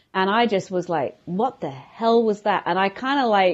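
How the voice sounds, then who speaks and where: A woman speaks with a London accent. She keeps a moderate pace. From London, England. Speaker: violinist. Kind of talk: casual interview. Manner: halting.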